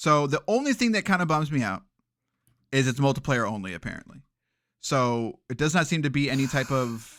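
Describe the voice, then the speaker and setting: In a very clean recording with a silent background, a man with a fairly high voice talks at a fairly quick pace in an animated tone with lively intonation. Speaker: video game podcast host. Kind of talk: casual chat. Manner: fast.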